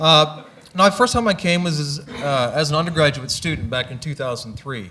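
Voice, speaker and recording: A man with an American accent, at a fairly quick pace with ordinary pitch variation. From US Midwest, Missouri. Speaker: astronomer. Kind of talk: interview on stage.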